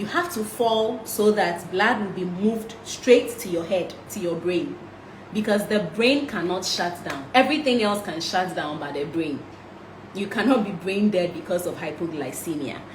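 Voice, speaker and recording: Amid noticeable background noise and audible room echo, a woman at a medium pitch speaks with lively intonation. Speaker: health and nutrition talk host. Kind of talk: live-streamed health talk. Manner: fast.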